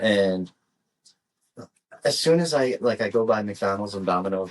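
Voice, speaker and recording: With a Midwestern US accent, a man talks at a moderate pace in a fairly low pitch. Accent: US Midwest. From US Midwest. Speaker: podcast co-host. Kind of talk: casual chat.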